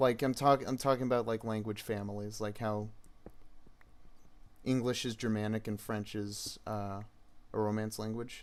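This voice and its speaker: With an American accent, a fairly low-pitched man talks at a moderate pace in a monotone, flat intonation, leaving long, frequent pauses. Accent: American, rhotic. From United States. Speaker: gaming streamer. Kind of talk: casual live stream chat. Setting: live stream with chat. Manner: halting, many fillers.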